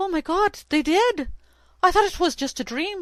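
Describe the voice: In a put-on character voice with an Irish accent, the speaker talks at a moderate pace, squeaky and shaky at an extremely high pitch.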